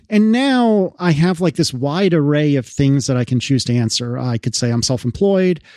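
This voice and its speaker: A man with an American accent and a fairly high, dark, mellow voice speaks at a moderate pace with lively intonation, very even loudness and hardly any pauses, in a very clean recording with a silent background. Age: 30s. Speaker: podcaster and developer. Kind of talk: casual chat.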